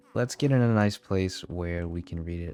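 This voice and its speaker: With an American accent, the speaker talks at a fairly slow pace in a relaxed tone. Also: man. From US South, Louisiana. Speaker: gaming YouTuber. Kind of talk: let's play commentary. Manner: casual, relaxed.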